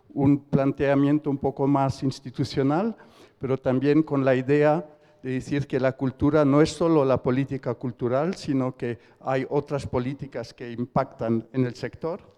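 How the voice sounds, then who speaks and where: In a dry, close recording with no echo, a man with a fairly high pitch and a dark, mellow tone talks at a fairly slow pace with fairly even intonation. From Switzerland. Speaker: debate moderator. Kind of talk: panel introduction. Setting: auditorium, in person and online. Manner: halting, with fillers.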